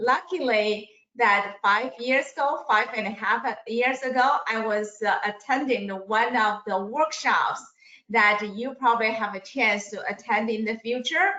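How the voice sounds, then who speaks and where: This woman has a plain, everyday voice pitched fairly high. She speaks at a fairly slow pace with ordinary pitch variation. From immigrant to the US. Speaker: financial services businesswoman. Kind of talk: webinar self-introduction.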